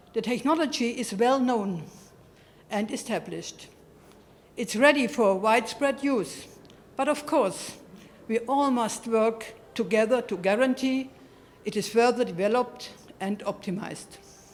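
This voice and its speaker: A woman with a German accent speaks at a moderate pace, leaving long, frequent pauses. Her voice is fairly high, with ordinary pitch variation. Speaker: award recipient, network representative. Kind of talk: acceptance speech. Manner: formal.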